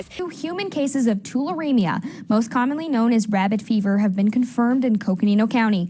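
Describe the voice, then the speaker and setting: Over noticeable background noise, a woman talks at a very fast pace with hardly any pauses, a fairly high pitch and lively intonation. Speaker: TV news reporter and anchor. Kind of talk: TV news anchor read.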